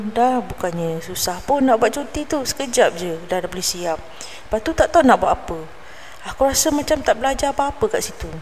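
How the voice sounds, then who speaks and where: Over noticeable background noise, a woman talks fairly quickly in a high pitch with very wide pitch swings. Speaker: storyteller podcaster. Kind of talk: first-person storytelling narration.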